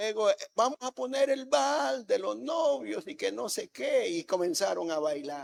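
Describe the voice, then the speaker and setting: A man talks at a fairly slow pace with hardly any pauses. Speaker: pastor. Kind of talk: sermon. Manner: soft-spoken.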